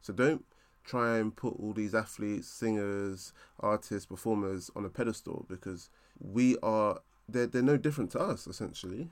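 A man with a South London accent speaks at a moderate pace in a fairly low voice, his pitch varying in an ordinary way, on a very clean recording with a silent background. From South East London. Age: 20s. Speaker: podcast host, management consultant. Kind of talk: solo motivational monologue.

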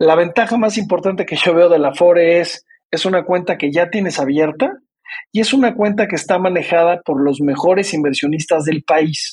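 A man with a Mexican accent talks at a moderate pace in a high pitch, with ordinary pitch variation. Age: 50s. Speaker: retirement savings entrepreneur. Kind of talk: interview.

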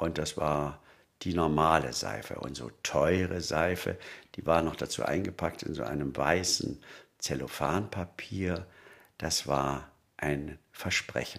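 A man's very deep, low voice with vocal fry, very slow delivery and ordinary pitch variation. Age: 70s. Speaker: sociologist and podcast co-host. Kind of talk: casual chat.

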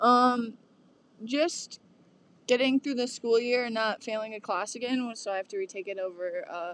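The recording is very clean, with a silent background. A woman with an ordinary speaking voice talks at a moderate pace, her pitch fairly high with ordinary variation. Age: young. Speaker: college student podcast host. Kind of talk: casual chat.

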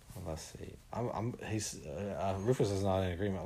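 A man speaks in a playful tone at a moderate pace. His voice is somewhat breathy and fairly low in pitch. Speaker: podcast host. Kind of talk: casual interview with a child and puppets. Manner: playful, joking.

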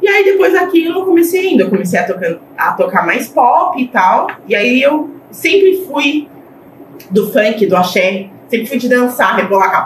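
Against noticeable background noise, a woman speaks at a moderate pace in a high voice with very wide pitch swings. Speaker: DJ. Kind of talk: casual chat.

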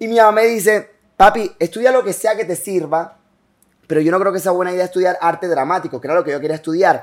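Very fast speech in a Colombian Caribbean accent, with ordinary pitch variation. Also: man, high pitch for a man. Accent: Colombian Caribbean (costeño) Spanish. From Colombian Caribbean coast (Bolívar, Cartagena, Barranquilla). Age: 20s. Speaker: entrepreneur and content creator. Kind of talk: casual interview. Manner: fast, hyperactive.

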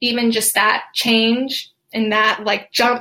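A woman speaks with an American accent in a fairly high pitch. Her tone is bright and sharp, her intonation monotone and flat. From Atlanta, Georgia, US South. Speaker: occupational therapist and podcaster. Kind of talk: podcast solo talk, live-style presentation.

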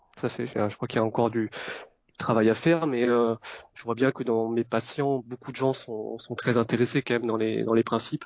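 The speaker is a man with a medium pitch. His intonation stays flat and monotone. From born in Vietnam, Vietnamese parents, raised in France. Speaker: Chinese medicine practitioner. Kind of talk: interview. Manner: halting.

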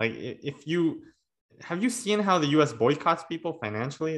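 An ordinary speaking voice, with lively intonation at a moderate pace. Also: man. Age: 30s. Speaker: podcast host. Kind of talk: casual chat. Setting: video call.

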